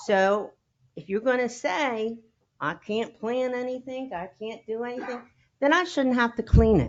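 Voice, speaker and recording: A woman with an unremarkable speaking voice talks at a fairly slow pace and a fairly high pitch, her pitch varying in an ordinary way while her loudness swings widely. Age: 60s. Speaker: resident giving public comment. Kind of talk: public comment at town council meeting.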